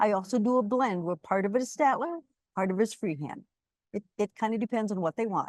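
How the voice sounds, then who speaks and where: A woman speaks very fast with an American accent. The sound is dry and close, with no echo. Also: fairly high pitch for a woman, lively intonation. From US Midwest, Wisconsin. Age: 70s. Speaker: quilter and small business owner. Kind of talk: interview. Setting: live webinar.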